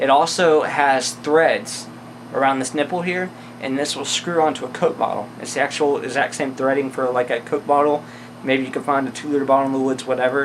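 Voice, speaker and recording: Amid noticeable background noise, a man speaks at a fairly quick pace in a fairly high pitch with fairly even intonation. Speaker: outdoor gear reviewer. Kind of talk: gear review tutorial. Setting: indoors. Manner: fast; casual with many fillers.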